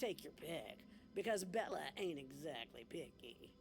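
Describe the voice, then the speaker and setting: A man puts on a character voice at a fairly slow pace. Background noise is clearly heard. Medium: video game. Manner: dry, folksy drawl.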